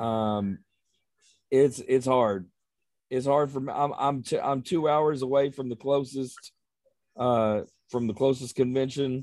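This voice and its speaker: In a Texan accent, a man talks at a medium pitch with fairly even intonation. He leaves long, frequent pauses. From Texas. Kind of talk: casual chat, podcast interview.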